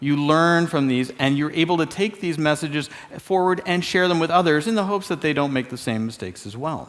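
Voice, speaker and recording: Pitched fairly high, this man speaks in an ordinary speaking voice. His pace is fairly quick and his pitch varies an ordinary amount. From Canada. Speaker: security expert. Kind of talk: keynote talk. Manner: casual, conversational.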